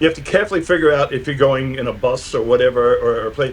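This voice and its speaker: Noticeable background noise surrounds the speaker. He is a man talking at a fairly quick pace. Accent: American. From New York, Brooklyn. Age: 60s. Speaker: electronic musician and producer. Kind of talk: interview. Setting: video call. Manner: halting, many repeated words.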